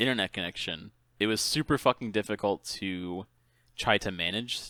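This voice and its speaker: On a very clean recording with a silent background, a man with an American accent speaks at a moderate pace in a bright, sharp tone with ordinary pitch variation. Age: 20s. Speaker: gaming podcast host and streamer. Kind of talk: casual chat. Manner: casual, lots of filler and swearing.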